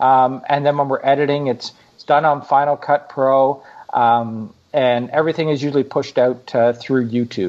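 This man has an ordinary speaking voice with a Canadian accent. He keeps a moderate pace and a medium pitch, with ordinary pitch variation. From Canada. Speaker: travel blogger. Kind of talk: interview conversation. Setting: remote call.

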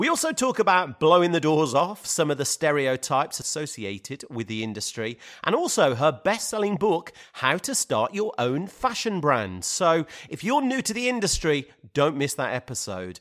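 A man speaks at a moderate pace, his fairly high voice swinging very widely in pitch. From UK. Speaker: podcast host. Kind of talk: casual interview; podcast outro.

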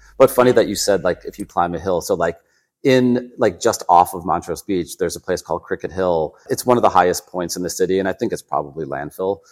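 A man talks at a very fast pace in a very deep, low pitch with ordinary pitch variation. The recording is very clean, with a silent background. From Chicago suburbs, US Midwest. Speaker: lifestyle journalist. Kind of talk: casual interview.

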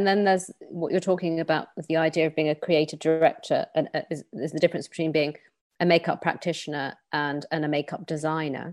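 A woman speaks at a fairly quick pace with a very deep, low pitch. Her intonation is monotone and flat, and the recording is very clean with a silent background. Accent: British. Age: 40s. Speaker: podcast host, journalist and lecturer. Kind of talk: interview. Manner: halting with repeated words.

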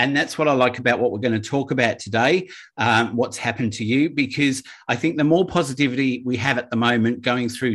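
A man speaks in a plain, everyday voice at a medium pitch, with ordinary pitch variation and a fairly quick pace. The background is quiet. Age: 50s. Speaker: podcast host. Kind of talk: casual chat. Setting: remote call.

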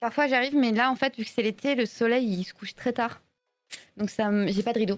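A woman with a plain, everyday voice, fairly high in pitch, fairly even in intonation and fairly quick in pace. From Belgium. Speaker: streamer and illustrator. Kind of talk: casual live-stream interview. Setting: live stream voice call.

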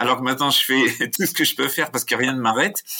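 Bright, sharp tone from a man at a medium pitch. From France. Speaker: emotional intelligence expert and author. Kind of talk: interview conversation.

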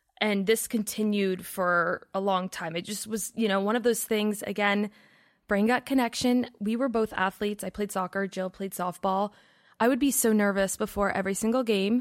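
A plain, everyday voice at a moderate pace with fairly even intonation, in a very clean recording with a silent background. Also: woman, medium pitch for a woman. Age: 20s. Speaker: wellness content creator and podcaster. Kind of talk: casual interview.

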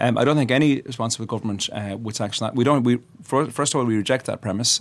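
A man's medium-pitched voice with an Irish accent, very fast and fairly even in intonation, on a very clean recording with a silent background. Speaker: politician. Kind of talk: studio panel discussion. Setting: studio.

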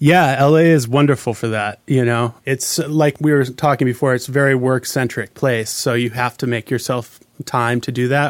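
With a Hawaiian accent, a man speaks in a medium-pitched voice. His pace is moderate and his intonation fairly even. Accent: Hawaiian American English. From Hawaii (Maui). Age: 40s. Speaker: recording engineer. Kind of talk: casual interview. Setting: recording studio.

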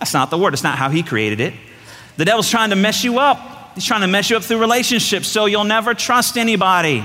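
Over noticeable background noise, a man with a high pitch projects a raised voice at a fairly quick pace with lively intonation. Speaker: pastor. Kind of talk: sermon. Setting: church stage with congregation. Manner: fast.

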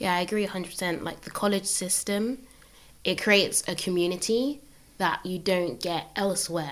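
Hers is a plain, everyday voice. The woman's pace is moderate, and her pitch shifts in an ordinary way. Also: medium pitch for a woman. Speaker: economics undergraduate. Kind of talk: casual conversation.

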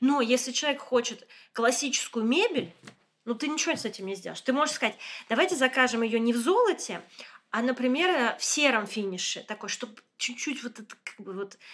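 A high-pitched woman at a fairly quick pace, with lively intonation and big swings in loudness. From Moscow, Russia. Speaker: interior designer and community founder. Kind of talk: casual chat. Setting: guest's apartment.

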